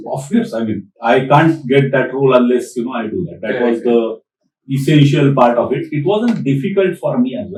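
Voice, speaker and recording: With an Indian accent, a man speaks at a medium pitch and a fairly quick pace, somewhat breathy. His intonation is lively, with big swings in loudness. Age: 60s. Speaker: PMP trainer, retired tech director. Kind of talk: podcast interview answer.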